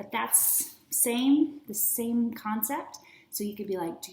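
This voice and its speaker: Speaking very slowly with an American accent, a woman uses a fairly high pitch, and audible room echo surrounds her voice. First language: American Sign Language. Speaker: teacher and curriculum author. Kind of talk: product presentation. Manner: casual.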